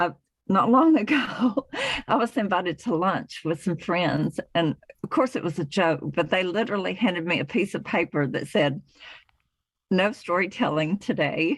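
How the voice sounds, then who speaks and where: Speaking with a Southern US accent, a woman at medium pitch keeps a moderate pace and lively intonation. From US South. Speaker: author. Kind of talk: interview.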